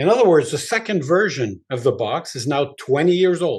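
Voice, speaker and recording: A somewhat breathy man talks at a moderate pace over a quiet background. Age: 60s. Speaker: rock musician. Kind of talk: interview.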